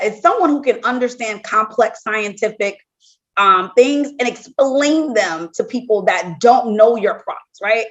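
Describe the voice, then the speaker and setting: Lively intonation marks this woman's high-pitched voice. She has an American accent and speaks at a fairly slow pace. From US South, New Orleans. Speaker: medical device regulatory executive. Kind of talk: podcast interview.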